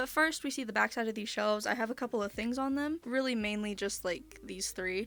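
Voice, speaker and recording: Fairly quick speech in a normal speaking voice, hardly any pauses, ordinary pitch variation. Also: woman, fairly high pitch for a woman. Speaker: content creator. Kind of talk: casual room tour talk to camera.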